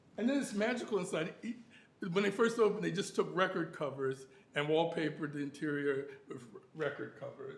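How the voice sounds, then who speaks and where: In a room with audible echo, a man speaks at a high pitch. His pace is fairly quick and his intonation lively. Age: 70s. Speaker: symposium speaker on Harlem venues. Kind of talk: conference talk with slides. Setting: university symposium. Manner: hesitant, many fillers.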